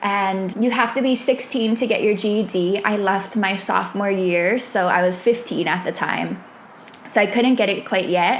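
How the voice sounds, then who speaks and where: A woman's medium-pitched voice at a moderate pace, with fairly even intonation, very even loudness and noticeable background noise. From Hawaii (Wahiawa, Oahu). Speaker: podcast host. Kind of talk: casual monologue. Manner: casual, filler-heavy.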